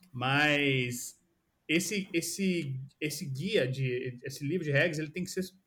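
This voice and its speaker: With a fairly high pitch and ordinary pitch variation, a man speaks. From Brazil, São Paulo state interior (São José dos Campos). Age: 30s. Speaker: product designer. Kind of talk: casual interview chat.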